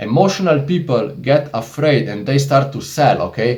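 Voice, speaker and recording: A man with a Slovenian accent speaks at a fairly high pitch and a fairly slow pace, somewhat breathy and animated, with audible room echo. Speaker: investing YouTuber. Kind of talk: casual tutorial monologue.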